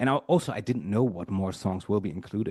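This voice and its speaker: A man with a German accent speaks against a quiet background, the sound dry and close with no echo. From Germany. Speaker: musician and producer. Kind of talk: interview. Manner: halting.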